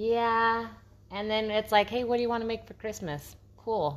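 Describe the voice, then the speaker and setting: A woman at a fairly quick pace. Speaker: podcast co-host. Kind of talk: casual chat. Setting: home, by the fireplace.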